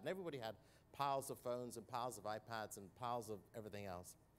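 A man in a British accent at a very fast pace, with light background noise. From United Kingdom. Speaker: corporate citizenship executive. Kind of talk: panel discussion. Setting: stage with audience at a conference. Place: stage. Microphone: lapel.

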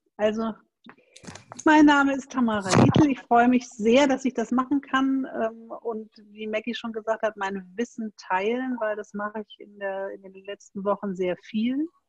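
A woman's fairly high voice, slightly mellow, with ordinary pitch variation and a moderate pace, in a dry, close sound with no echo.

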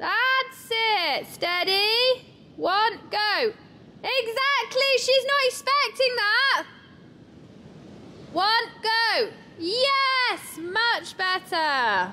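A woman uses a raised, projected voice with a bright, sharp tone. She speaks very slowly, with long, frequent pauses, over light background noise. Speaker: riding instructor. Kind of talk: coaching instructions. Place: hall.

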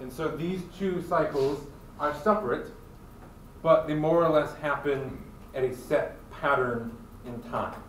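Over light background noise and audible room echo, a man speaks with big swings in loudness and long, frequent pauses. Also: ordinary pitch variation, fairly slow pace. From Michigan. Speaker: college biology instructor. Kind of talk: lecture. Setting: classroom with students. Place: classroom. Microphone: camera far.

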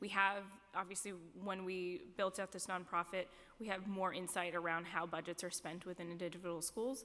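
Bright and sharp in tone, a woman speaks at a medium pitch. Her pace is moderate and her intonation monotone and flat. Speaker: education department official. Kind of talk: formal testimony at a public hearing. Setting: council chambers hearing. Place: hall. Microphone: podium.

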